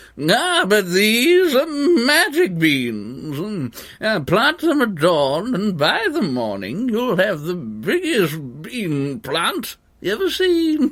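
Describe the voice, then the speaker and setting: Putting on a character voice, a man speaks very slowly in a high pitch with very wide pitch swings, in a very clean recording with a silent background. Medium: read story.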